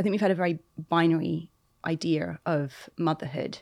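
A woman with a very deep, low pitch and vocal fry speaks at a moderate pace with fairly even intonation. The recording is very clean, with a silent background. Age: 40s. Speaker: author. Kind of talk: interview conversation. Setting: studio.

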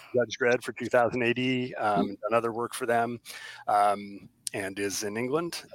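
In a very clean recording with a silent background, a man with a normal speaking voice talks at medium pitch, the sound dry and close with no echo. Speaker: comic writer and creator. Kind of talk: casual interview chat.

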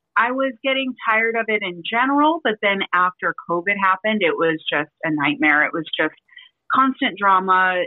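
A woman with an American accent and lively intonation. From Las Vegas, Nevada (partly Vancouver, Canada). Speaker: bartender and social media creator. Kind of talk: casual interview chat. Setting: remote call from home. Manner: fast.

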